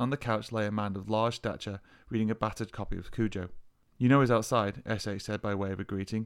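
Someone reads aloud in a natural voice.

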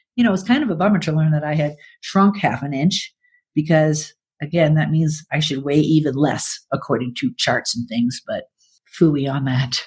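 A woman speaks at a moderate pace in a very deep, low voice that is somewhat breathy. Her tone is animated and her intonation lively. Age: 60s. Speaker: podcast host and writer. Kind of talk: reading aloud own writing with comments. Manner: animated, laughing.

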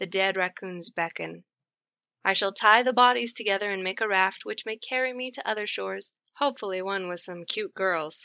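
A woman's unremarkable speaking voice at a medium pitch, with a moderate pace and ordinary pitch variation. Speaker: short story narrator. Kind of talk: dramatic narration of a absurdist comic story, read aloud.

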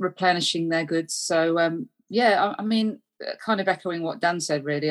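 A woman's low-pitched voice at a moderate pace

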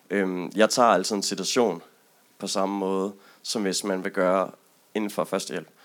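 A man speaks in a very deep, low pitch. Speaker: audience member. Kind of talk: audience discussion.

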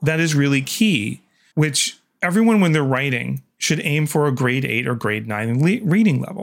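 A man with a Canadian accent talks at a moderate pace with a fairly high pitch and lively intonation, in a plain, everyday voice. The recording is very clean, with no background sound. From Canada. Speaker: communications manager and writer. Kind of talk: interview.

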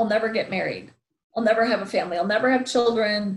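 Somewhat breathy and fairly high-pitched, a woman with an American accent talks with fairly even intonation. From US Midwest, Wisconsin. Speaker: motivational speaker. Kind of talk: interview.

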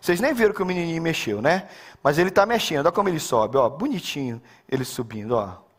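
Animated and very fast, a man speaks in a high voice that swings very widely in pitch. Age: 50s. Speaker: pastor. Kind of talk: sermon.

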